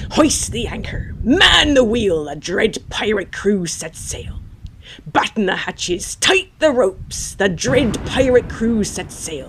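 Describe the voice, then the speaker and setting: Using a put-on character voice, a woman speaks at medium pitch and a fairly slow pace. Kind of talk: poetry reading.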